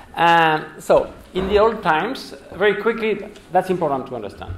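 A man's fairly slow speech with very wide pitch swings, audible room echo and light background noise. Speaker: guest lecturer. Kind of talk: lecture. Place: hall.

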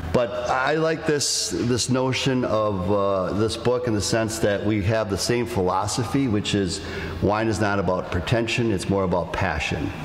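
A man at a fairly slow pace and fairly low pitch, with very even loudness and ordinary pitch variation, amid audible room echo and light background noise. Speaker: host. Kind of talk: live podcast talk to audience. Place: hall.

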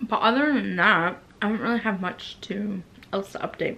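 A woman talks with fairly even intonation at a moderate pace, light background noise behind her. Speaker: vlogger. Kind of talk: casual vlog chat. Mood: relaxed, laughing at times. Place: home room.

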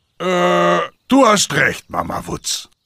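A man puts on a raspy character voice pitched fairly high. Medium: cartoon.

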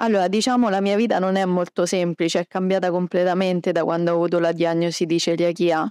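A woman talks at a fairly quick pace. The sound is dry with no echo, over a quiet background. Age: 30s. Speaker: celiac patient and food blogger. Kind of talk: interview. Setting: medical conference. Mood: calm, positive. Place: hall. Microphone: handheld.

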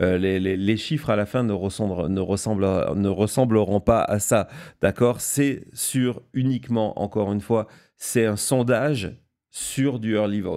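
A man speaks at a fairly slow pace in a fairly low pitch, his tone dark and mellow. His pitch varies in an ordinary way on a very clean recording with a silent background. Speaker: political news show host. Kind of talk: live political analysis show. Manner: halting, many fillers and repetitions; unscripted, speaks without notes.

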